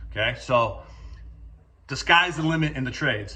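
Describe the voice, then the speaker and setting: A man speaks with an energetic, bright, sharp tone, vocal fry and ordinary pitch variation. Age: 40s. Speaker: construction company owner. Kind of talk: career talk to students. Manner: casual, energetic with frequent fillers.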